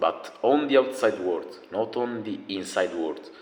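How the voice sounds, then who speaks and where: Very slowly, a man speaks with a non-native accent. His intonation is lively. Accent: noticeable non-native. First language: not English. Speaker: self-improvement video creator. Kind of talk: motivational talk. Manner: casual, animated.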